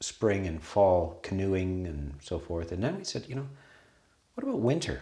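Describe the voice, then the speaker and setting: A man speaks in a Canadian accent with a very deep, low pitch. His delivery is somewhat breathy, with lively intonation. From western Canada. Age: 60s. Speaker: Buddhist monastery abbot. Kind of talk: casual conversation.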